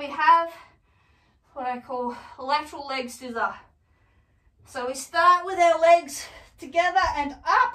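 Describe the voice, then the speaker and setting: Against a quiet background with audible room echo, a woman uses a raised, projected voice at a fairly slow pace, with lively intonation, big swings in loudness, and long, frequent pauses. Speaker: fitness instructor. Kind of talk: tutorial. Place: home room. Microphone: camera far.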